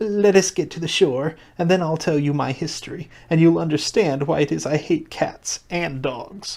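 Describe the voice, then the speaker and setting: This is a put-on character voice at a middle pitch that sounds shaky. It moves at a moderate pace. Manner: emotional, holding back passion.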